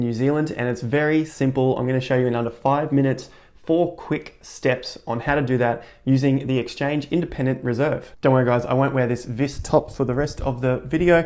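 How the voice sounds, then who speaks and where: A man's medium-pitched voice moves at a fairly quick pace with fairly even intonation. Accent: Australian. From Australia. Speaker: crypto tutorial youtuber. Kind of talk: tutorial. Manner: casual, joking.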